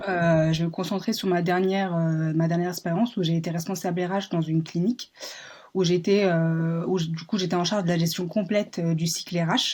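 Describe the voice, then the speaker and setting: A woman speaks at a fairly quick pace with a fairly low pitch. Her intonation is monotone and flat. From France, Paris. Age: 20s. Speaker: job seeker in human resources. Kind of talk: job interview. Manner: hesitant, many fillers.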